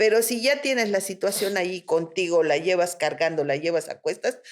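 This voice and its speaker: A woman talks at a moderate pace with a Mexican accent. Her pitch rises and falls in an ordinary way. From Mexico. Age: 60s. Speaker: spiritual therapist. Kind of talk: interview conversation.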